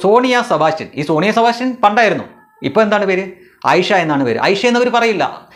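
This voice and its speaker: A man's high-pitched voice carries lively intonation over noticeable background noise. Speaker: political commentary YouTuber. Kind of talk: monologue commentary.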